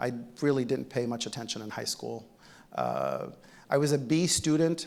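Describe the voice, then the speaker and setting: A man speaks with a fairly high pitch. His voice carries vocal fry. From Egypt, then New Jersey from about age ten. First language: Arabic. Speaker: physician-scientist, keynote speaker. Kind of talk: keynote speech. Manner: conversational, with many fillers.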